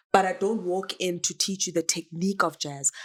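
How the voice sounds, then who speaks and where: A woman with a South African accent and a fairly low pitch speaks at a fairly slow pace. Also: very clean recording, silent background. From South Africa, Soweto. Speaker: dancer and performer. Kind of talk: podcast interview.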